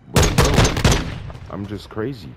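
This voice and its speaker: A man speaks with music playing in the background. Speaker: gaming commentator. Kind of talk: casual gameplay commentary. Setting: home recording over game audio.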